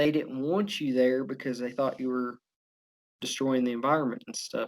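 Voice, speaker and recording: A man talks with a strong southern Oklahoma accent. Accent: heavy southern Oklahoma. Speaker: law student and former oil field worker. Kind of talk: casual chat.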